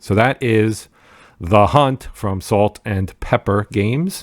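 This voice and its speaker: A man speaks in a New Jersey accent. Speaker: board game youtuber. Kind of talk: casual video commentary. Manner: halting, many fillers.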